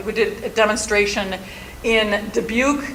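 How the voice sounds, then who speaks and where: Over noticeable background noise and audible room echo, a woman with an American accent speaks at a fairly high pitch with fairly even intonation. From Milwaukee, Wisconsin, US Midwest. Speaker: soil scientist, stormwater educator. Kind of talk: conference presentation. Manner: fast.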